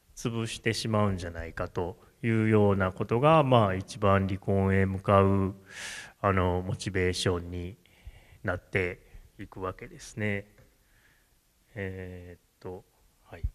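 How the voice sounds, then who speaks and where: The delivery is fairly slow, with long, frequent pauses and fairly even intonation. Loudness swings widely. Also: man, fairly low pitch for a man. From Japan, Kamo, Tokushima; Tokushima, Japan. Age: 40s. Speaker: tea farmer; speaker. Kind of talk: solo stage talk. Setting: stage with audience. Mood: relaxed, reflective, smiling. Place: hall. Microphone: handheld.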